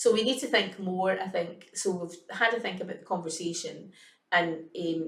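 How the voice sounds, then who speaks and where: In a Scottish accent, a woman talks at a moderate pace and medium pitch with ordinary pitch variation, and audible room echo surrounds her voice. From Scotland. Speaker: early years educator. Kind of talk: casual chat.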